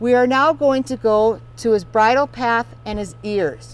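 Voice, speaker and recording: The speaker has an American accent, and the sound is dry with no echo. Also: woman. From US Midwest, Wisconsin. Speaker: horse riding instructor and equestrian; horse riding instructor. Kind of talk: product demonstration. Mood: calm, gentle. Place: open country.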